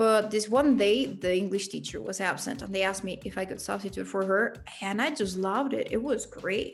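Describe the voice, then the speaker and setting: At a moderate pace with hardly any pauses, a woman of medium pitch talks with a slight Mexican accent and ordinary pitch variation. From Mexico City. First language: Spanish. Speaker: English teacher. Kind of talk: interview.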